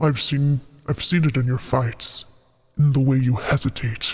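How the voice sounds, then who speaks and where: The speaker puts on a character voice, talking quietly at a moderate pace. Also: man, medium pitch for a man. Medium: virtual streamer. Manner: quiet, intense, terse.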